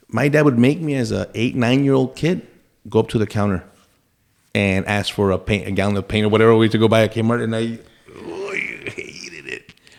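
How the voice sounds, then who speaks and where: Moving at a fairly quick pace, a man uses lively intonation around a medium pitch. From Texas, El Paso. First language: Spanish. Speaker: retired federal agent and congressional candidate. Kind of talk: casual chat.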